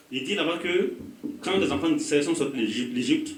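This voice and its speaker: With audible room echo and noticeable background noise, a man talks at a fairly quick pace with ordinary pitch variation. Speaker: pastor. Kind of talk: sermon. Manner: animated.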